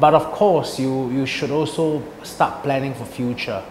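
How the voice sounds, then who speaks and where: Over noticeable background noise and audible room echo, a man with a fairly high pitch talks at a moderate pace with fairly even intonation. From Singapore. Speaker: executive chef. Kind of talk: interview. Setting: restaurant. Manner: halting.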